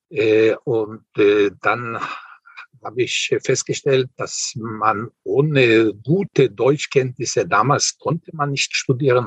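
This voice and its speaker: Very slow male speech with a dry, close sound and no echo. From Israel. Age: 70s. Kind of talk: interview.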